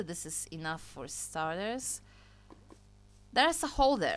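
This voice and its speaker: A woman is speaking. She has a Polish accent. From Poland. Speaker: gaming YouTuber. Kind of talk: gameplay commentary. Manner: casual, chatty.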